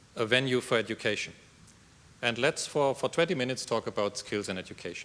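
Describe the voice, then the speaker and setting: Bright and sharp in tone, a man speaks at a medium pitch and fairly quick pace with ordinary pitch variation. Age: 50s. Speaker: EU official, conference speaker. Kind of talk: conference talk. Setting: conference room with audience. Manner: loud.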